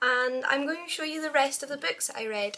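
Projecting her voice loudly, a woman with a Scottish accent speaks in a bright, sharp tone with lively intonation. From Scotland. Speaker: book vlogger. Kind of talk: casual talk to camera. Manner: fast. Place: home room. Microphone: webcam.

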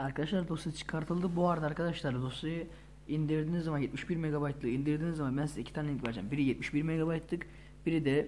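Very fast, somewhat breathy speech from a man with a fairly high voice. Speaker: gaming YouTuber. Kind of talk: tutorial.

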